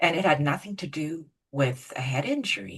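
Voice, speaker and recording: With lively intonation, a woman speaks at a very deep, low pitch. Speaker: podcast host, hypnotherapist. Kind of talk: interview question.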